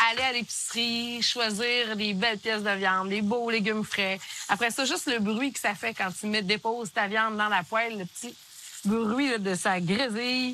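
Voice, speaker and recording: Noticeable background noise behind a woman's fairly high voice, moderate in pace, with fairly even intonation. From Quebec, Gaspésie. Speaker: cooking show host. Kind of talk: casual chat on cooking show.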